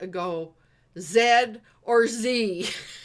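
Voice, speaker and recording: A woman speaks with an East Coast Canadian accent. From Eastern Canada. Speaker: business coach, livestream host. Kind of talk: casual group chat.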